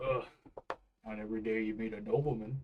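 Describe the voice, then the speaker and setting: A man performs a put-on character voice. He talks at a very fast pace. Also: medium pitch for a man. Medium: actual play. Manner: gruff, terse.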